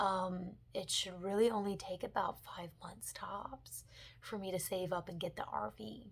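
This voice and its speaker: A woman speaks in an American accent with vocal fry. Her pace is fairly slow. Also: medium pitch for a woman, ordinary pitch variation. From US South, Mobile, Alabama. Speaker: book vlogger. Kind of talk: casual vlog update.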